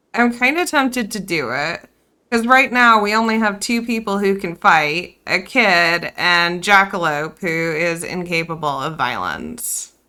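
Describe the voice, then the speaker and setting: Loud and bright, a woman's voice comes through with a sharp tone. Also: medium pitch for a woman, lively intonation. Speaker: video game streamer. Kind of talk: live gameplay stream chat. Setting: live stream.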